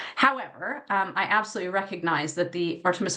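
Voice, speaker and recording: In an American accent, a woman speaks at a fairly quick pace in a fairly low pitch, with audible room echo. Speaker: academic space policy researcher. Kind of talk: conference panel talk. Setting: conference panel with audience.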